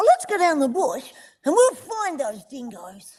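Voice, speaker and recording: Pitched extremely high with very wide pitch swings, a put-on character voice talks at a moderate pace. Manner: intentional, energetic, expressive.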